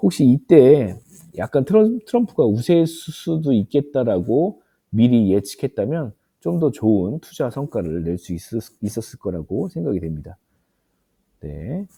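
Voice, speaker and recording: A man at medium pitch talks with a dark, mellow tone and very wide pitch swings. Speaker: stock investing YouTuber, office worker. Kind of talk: tutorial. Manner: frequent filler 'uh', hesitant.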